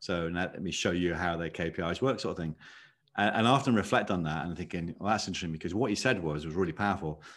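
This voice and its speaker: Against a quiet background, a man with a British accent speaks very fast in a very deep, low voice with ordinary pitch variation. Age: 50s. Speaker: leadership consultant. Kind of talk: podcast interview.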